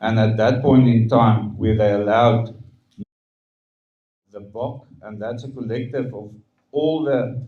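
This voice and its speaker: Amid audible room echo, a man speaks at a moderate pace in a somewhat breathy, dark and mellow voice, his medium pitch held in a monotone, flat line. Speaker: stadium management spokesperson. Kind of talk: press conference Q&A. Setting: press conference.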